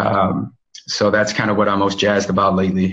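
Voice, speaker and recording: A man speaks with music in the background. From Chicago, South Side. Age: 20s. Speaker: physical therapist. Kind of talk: casual interview. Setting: call.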